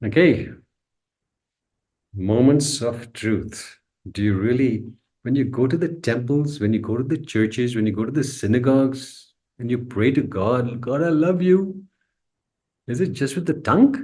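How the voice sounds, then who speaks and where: A man with a medium pitch, a dark, mellow tone, and a somewhat breathy quality talks at a fairly slow pace with ordinary pitch variation and long, frequent pauses, and audible room echo surrounds him. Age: 60s. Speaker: spiritual teacher. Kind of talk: lecture. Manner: repetitive emphatic phrasing.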